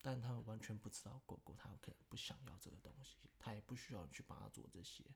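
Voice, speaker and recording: Talking very fast, a man uses a fairly low voice with vocal fry and ordinary pitch variation. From Taiwan. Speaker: podcast guest, host's childhood friend. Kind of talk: casual chat.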